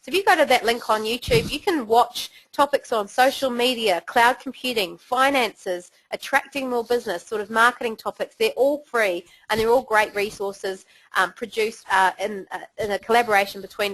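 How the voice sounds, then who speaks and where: Woman with a New Zealand accent and fairly high pitch at a moderate pace, with a dry, close sound and no echo. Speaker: webinar host. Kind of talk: webinar presentation. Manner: casual.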